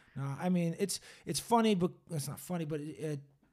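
In a very clean recording with a silent background, a man with an unremarkable speaking voice talks at a moderate pace, fairly high in pitch with ordinary pitch variation. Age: 30s. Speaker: podcast host. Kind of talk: casual chat. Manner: profane, casual.

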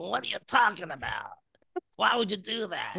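In a put-on character voice, the speaker sounds raspy, with fairly high pitch and a moderate pace.

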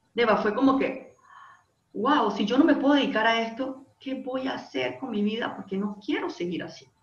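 An unremarkable speaking voice with lively intonation, delivered at a moderate pace. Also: woman, fairly high pitch for a woman. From Panama. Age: 30s. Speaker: life coach and industrial engineer. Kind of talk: interview conversation.

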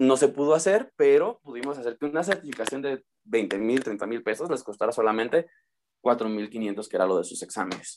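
A man speaks in a plain, everyday voice at medium pitch and a moderate pace. His intonation is lively. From Mexico, Uruapan, Michoacán. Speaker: English teacher. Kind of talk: interview.

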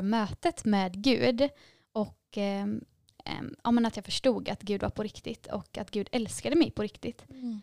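A woman with a normal speaking voice talks at a fairly slow pace in a fairly high pitch, with ordinary pitch variation and a dry, close sound with no echo. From Gothenburg, Sweden. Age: 20s. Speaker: nursing student. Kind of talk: testimony. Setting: studio.

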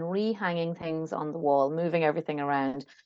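A woman's fairly low voice with an Irish accent. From Ireland (Kilkenny). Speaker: art critic and memoirist. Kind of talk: casual interview.

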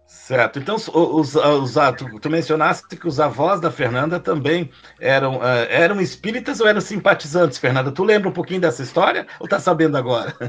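Over noticeable background noise, a man with fairly high pitch and lively intonation talks with hardly any pauses. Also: moderate pace. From Taquari, Rio Grande do Sul, Brazil. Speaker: podcast host. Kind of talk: interview. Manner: halting.

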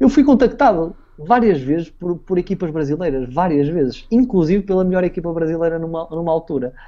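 A man's high voice, dark and mellow in tone, with lively intonation and a fairly quick pace with hardly any pauses. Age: 20s. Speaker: former esports player. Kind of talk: interview. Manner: halting.

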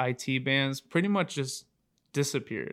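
With an American accent, a man talks at a fairly slow pace and a medium pitch. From Oregon, US Pacific Northwest. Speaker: incoming massage therapy student, former college football player. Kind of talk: casual interview chat.

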